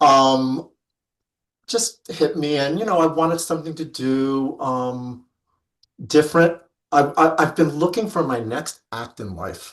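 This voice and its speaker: An unremarkable speaking voice from a man, fairly high-pitched and fairly slow, with ordinary pitch variation, big swings in loudness and a quiet background. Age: 50s. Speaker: fabric industry rep and life coach. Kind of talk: interview.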